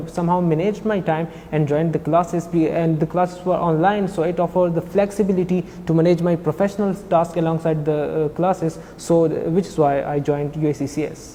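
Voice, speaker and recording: Noticeable background noise sits behind a man with a high pitch. He talks at a very fast pace in monotone, flat intonation. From Pakistan, Khyber Pakhtunkhwa. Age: 20s. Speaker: financial auditor, former language student. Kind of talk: interview. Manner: halting, many fillers.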